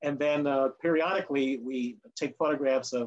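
Fairly even intonation and a moderate pace from a man. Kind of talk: webinar presentation. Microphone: video call.

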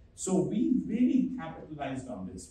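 Amid audible room echo, a man speaks at a moderate pace with very wide pitch swings. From India, Delhi. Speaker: physician and chief medical officer; conference presenter. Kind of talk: press conference presentation. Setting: stage with audience. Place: hall.

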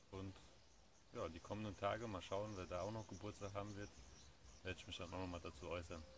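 A man with a fairly low voice talks at a fairly quick pace over noticeable background noise. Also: dry sound with no echo. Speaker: vlogger. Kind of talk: casual vlog chat. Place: garden. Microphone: phone near.

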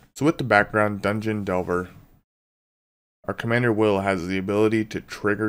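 In a normal speaking voice, a man talks at a moderate pace with fairly low pitch and fairly even intonation. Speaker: card game deck reviewer. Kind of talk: casual talk to camera. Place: home room.

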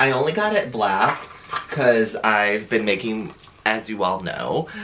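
Background noise is noticeable. The voice belongs to a man. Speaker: vlogger. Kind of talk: casual vlog chat. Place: home room.

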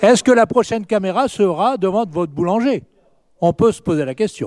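Lively intonation carries this moderate-paced voice, recorded dry with no echo against a quiet background. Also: man, high pitch for a man. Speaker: opposition city councillor. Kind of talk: council debate speech. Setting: municipal council meeting. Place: hall. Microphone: hard to hear, mic issue; podium.

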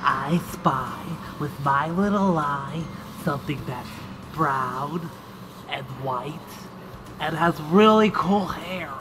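A cartoonish character voice at a middle pitch drags along at a very slow pace with long, frequent pauses. Background noise is clearly audible. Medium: puppet. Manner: playful, goofy.

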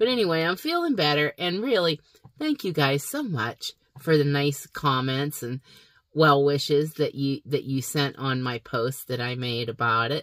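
This woman has a very deep, low pitch and a fairly slow pace. The background is quiet. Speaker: channel host. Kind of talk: casual vlog chat. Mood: warm, upbeat. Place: car. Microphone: phone near.

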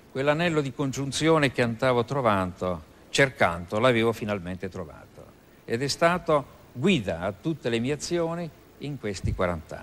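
A man speaks at a medium pitch. His pitch swings very widely and his loudness changes a lot. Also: moderate pace. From Italy, Abruzzo. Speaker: philosophy professor and Masonic grand master. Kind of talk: TV interview. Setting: TV studio with audience. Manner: formal.

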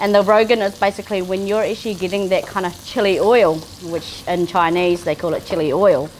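A woman at a moderate pace, ordinary pitch variation, light background noise. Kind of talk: cooking tutorial. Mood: warm, enthusiastic. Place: kitchen.

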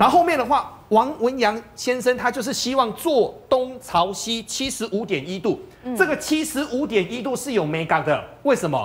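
At an extremely high pitch, a man talks at a moderate pace with lively intonation. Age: 40s. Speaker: veteran journalist; talk show guest commentator. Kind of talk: TV talk show panel discussion; commentary. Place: studio. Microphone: lapel.

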